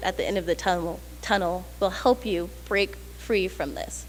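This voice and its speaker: A woman speaks at a moderate pace with vocal fry. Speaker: motivational speaker. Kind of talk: motivational speech to a live audience.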